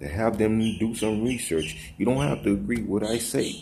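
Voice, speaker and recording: A man's voice with audible room echo. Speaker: religious video blogger. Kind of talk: casual vlog monologue. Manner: fast.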